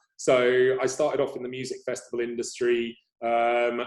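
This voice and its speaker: A man speaks with an English accent. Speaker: agency CEO. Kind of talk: interview.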